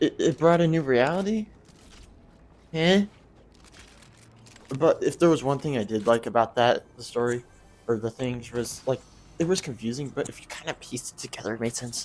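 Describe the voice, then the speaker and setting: Soft-spoken, a man with a medium pitch talks at a moderate pace with lively intonation and long, frequent pauses. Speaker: gaming YouTuber. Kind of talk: video game review. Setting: home recording at night. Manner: halting. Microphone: quiet.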